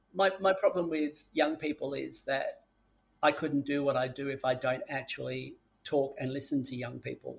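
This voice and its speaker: With an Australian accent, this man keeps to a moderate pace. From Sydney, Australia. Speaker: drug education expert. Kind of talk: interview.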